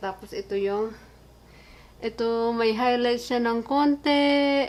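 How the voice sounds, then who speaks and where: A woman talks at a fairly slow pace with ordinary pitch variation. Her voice is high. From Philippines. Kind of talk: casual vlog talk to camera.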